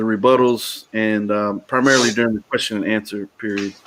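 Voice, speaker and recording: This is a man speaking. He has a Texas accent. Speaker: talk show host. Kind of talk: casual chat. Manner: halting.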